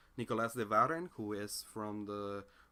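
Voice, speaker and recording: Bright and sharp in tone, a man speaks with a non-native accent. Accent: noticeable non-native accent in English. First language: Spanish. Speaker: philosophy commentator. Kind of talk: monologue commentary. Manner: halting, with frequent fillers and restarts.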